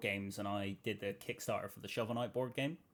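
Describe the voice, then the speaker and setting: A man with a Bristol accent talks very fast at a fairly low pitch. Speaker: YouTube interviewer. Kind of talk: video interview.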